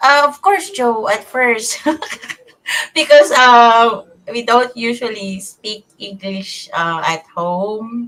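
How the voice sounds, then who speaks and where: The delivery is very slow, with lively intonation and big swings in loudness. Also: woman, fairly high pitch for a woman. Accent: Visayan Filipino. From Philippines, Cebuano-speaking region. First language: Cebuano. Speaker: online bookkeeper. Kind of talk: interview. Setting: live online broadcast. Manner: halting, many fillers.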